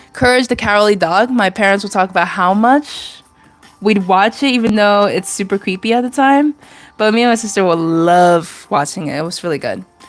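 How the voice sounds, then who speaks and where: Music plays in the background as a woman talks. Her pace is fairly quick and her pitch variation ordinary. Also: medium pitch for a woman. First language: Chinese. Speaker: artist streamer. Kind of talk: casual livestream chat while drawing. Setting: live stream.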